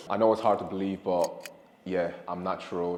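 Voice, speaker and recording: Very deep, low male speech at a moderate pace amid noticeable background noise. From Ireland, Dublin. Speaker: fitness content creator. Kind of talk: casual Q&A chat. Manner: hesitant, self-correcting.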